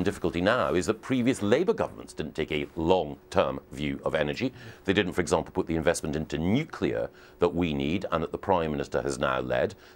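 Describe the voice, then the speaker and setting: Very deep and low, a man's voice races at a very fast pace with lively intonation and vocal fry. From Scotland. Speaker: politician. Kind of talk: TV news interview. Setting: live remote TV link.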